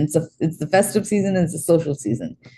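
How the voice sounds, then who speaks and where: A woman's voice comes across dark and mellow in tone and somewhat breathy. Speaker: astrologer. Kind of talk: live-streamed astrology forecast.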